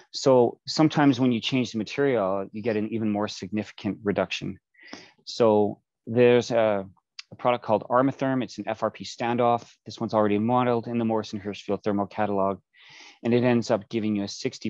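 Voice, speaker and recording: A fairly low-pitched male voice at a fairly quick pace, with fairly even intonation over a quiet background. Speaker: building envelope specialist presenting at conference. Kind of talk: technical conference presentation. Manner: fast.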